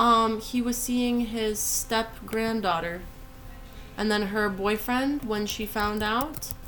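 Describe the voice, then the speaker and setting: Against noticeable background noise and audible room echo, a woman talks at a very slow pace. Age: 20s. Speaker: podcast co-host. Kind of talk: casual chat.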